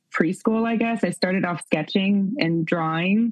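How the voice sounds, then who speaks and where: A woman speaks in a plain, everyday voice at a medium pitch. Her pace is fairly slow, with ordinary pitch variation. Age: 30s. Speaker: actress. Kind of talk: casual chat. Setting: video call.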